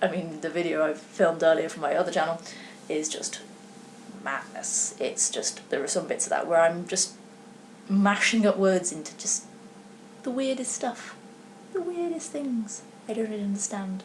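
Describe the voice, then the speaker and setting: Lively intonation in a British accent, with long, frequent pauses over noticeable background noise. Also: woman, medium pitch for a woman. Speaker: knitting podcaster. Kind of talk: casual vlog chat. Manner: fast; stuttering, slurred words.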